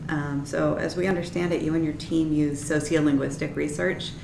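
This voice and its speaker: A moderate pace over noticeable background noise. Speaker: graduate student interviewer. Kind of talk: interview. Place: meeting room. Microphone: camera far.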